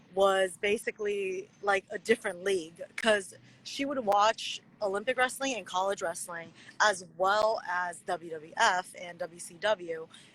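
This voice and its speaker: A woman with a Chinese accent speaks at a fairly slow pace and medium pitch, with ordinary pitch variation and big swings in loudness. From USA. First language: Mandarin Chinese. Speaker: pro wrestler. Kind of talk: interview.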